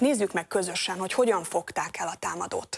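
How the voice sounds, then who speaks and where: Over a quiet background, a woman speaks at a moderate pace and a medium pitch. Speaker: TV news host. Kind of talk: TV panel moderation. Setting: studio. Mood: serious, calm. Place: studio.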